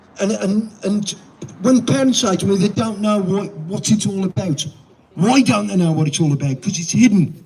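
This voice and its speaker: Over noticeable background noise, a man talks at a moderate pace with a high pitch and ordinary pitch variation. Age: 70s. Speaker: protest speaker. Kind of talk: protest speech. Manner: animated.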